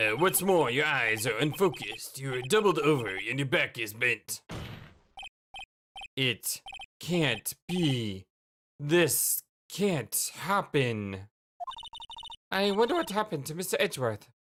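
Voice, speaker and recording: A man's put-on character voice, fairly high-pitched with very wide pitch swings, at a fairly slow pace broken by long, frequent pauses. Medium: game stream. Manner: hesitant, stammering.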